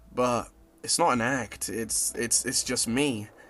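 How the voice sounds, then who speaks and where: The pace is very slow. A man talks with monotone, flat intonation. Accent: American. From Zimbabwe. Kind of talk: reflective spoken-word video essay. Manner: casual, reflective, soft.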